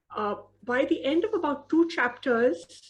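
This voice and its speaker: A woman speaks with an Indian accent. Her intonation is lively. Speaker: author. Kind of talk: interview.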